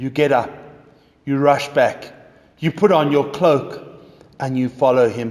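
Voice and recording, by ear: The speaker is reading aloud in a natural voice. Intonation stays fairly even.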